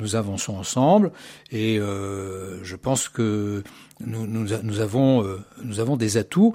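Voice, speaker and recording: Very slowly, a man speaks in a dark, mellow tone. His pitch is fairly low and his intonation fairly even. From Paris, France. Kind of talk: radio interview. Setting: studio.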